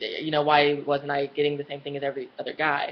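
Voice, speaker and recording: Her very deep, low pitch comes through as the woman speaks at a fairly quick pace. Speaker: vlogger. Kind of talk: personal vlog storytelling. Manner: casual, lots of fillers.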